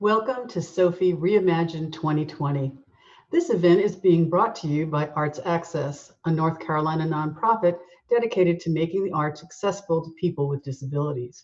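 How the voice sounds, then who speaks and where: Ordinary pitch variation marks a plain, everyday voice. The pace is fairly quick. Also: woman, fairly low pitch for a woman. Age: 60s. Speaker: nonprofit board president. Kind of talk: formal welcome address.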